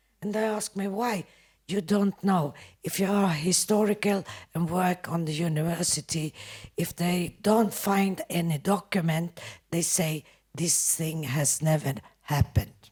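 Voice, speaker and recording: At a fairly slow pace, a woman talks in a somewhat breathy voice with fairly low pitch and ordinary pitch variation. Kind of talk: panel discussion. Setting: panel event with audience.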